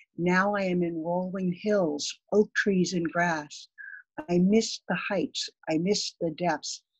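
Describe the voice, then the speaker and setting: A woman talks at a very slow pace in a fairly low, somewhat breathy voice. Her intonation is fairly even over a quiet background. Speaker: poet. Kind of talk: poetry reading. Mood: reflective, earnest. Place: home room. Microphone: webcam.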